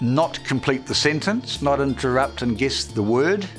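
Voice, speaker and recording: With music in the background, a man in a New Zealand accent speaks at a medium pitch, swinging very widely in pitch. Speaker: youth court judge. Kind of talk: interview answer.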